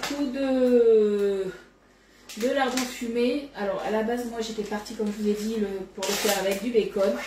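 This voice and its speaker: A woman talks at a fairly slow pace with ordinary pitch variation, with audible room echo and noticeable background noise around her. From Bordeaux, southwest France. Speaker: cookware sales consultant. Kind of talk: live cooking demonstration. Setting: home kitchen, live stream. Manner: casual, chatty.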